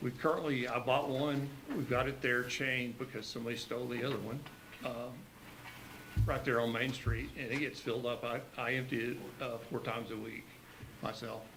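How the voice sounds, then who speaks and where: Over noticeable background noise and audible room echo, a man talks at a fairly quick pace and medium pitch in a monotone, flat way, leaving long, frequent pauses. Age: 60s. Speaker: community volunteer. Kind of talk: public comment at a county meeting. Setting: county commission meeting. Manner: halting, many fillers.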